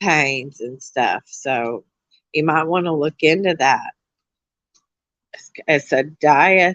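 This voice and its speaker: A loud voice at a very slow pace, in a dry, close sound with no echo. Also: woman. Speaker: livestreamer chatting with viewers. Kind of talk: casual live stream chat.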